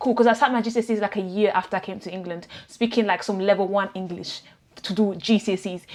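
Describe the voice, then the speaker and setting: Speaking at a very fast pace, a woman uses a medium pitch. Noticeable background noise runs underneath. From Italy. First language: Italian. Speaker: vlogger. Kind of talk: casual personal vlog. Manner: animated, conversational.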